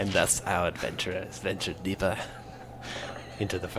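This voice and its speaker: Over loud background noise, a man uses a put-on character voice at a fairly quick pace. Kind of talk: mock-epic fantasy narration. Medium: actual play. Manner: grandiose, theatrical.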